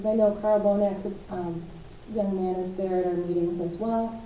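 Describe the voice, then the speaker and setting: A woman with a medium pitch speaks in a monotone, flat intonation, with audible room echo and noticeable background noise. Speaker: county commissioner. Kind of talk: public meeting update.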